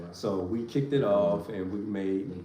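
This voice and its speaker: A man with an American accent and a fairly low pitch speaks with ordinary pitch variation, over noticeable background noise and audible room echo. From Virginia, Richmond area. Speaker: family vlogger. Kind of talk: casual chat.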